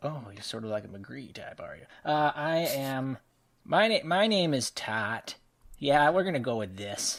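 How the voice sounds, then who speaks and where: Put-on character voice from a man, fairly high in pitch and at a fairly slow pace. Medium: actual play.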